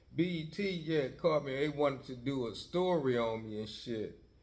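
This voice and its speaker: His voice carries ordinary pitch variation, and the man is heard with audible room echo around him. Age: 60s. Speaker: podcast host, former gang member. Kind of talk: casual monologue. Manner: rambling with frequent fillers.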